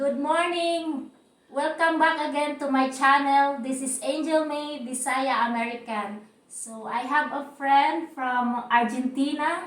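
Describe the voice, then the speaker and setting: In a Cebuano accent, a woman speaks at a high pitch with fairly even intonation. There is audible room echo. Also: fairly slow pace. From Philippines, Cebu region. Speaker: YouTuber. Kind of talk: casual chat.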